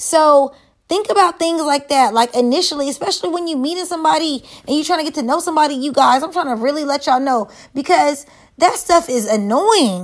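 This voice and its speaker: A woman with a high voice speaks at a fairly quick pace in an animated tone with lively intonation. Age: 30s. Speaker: podcast host. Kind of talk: casual monologue.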